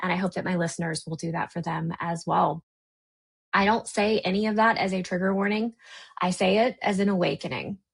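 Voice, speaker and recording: Somewhat breathy and medium in pitch, a woman speaks at a fairly quick pace with an American accent. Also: ordinary pitch variation. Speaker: podcast host and life coach. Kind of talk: unscripted podcast intro monologue. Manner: casual, conversational.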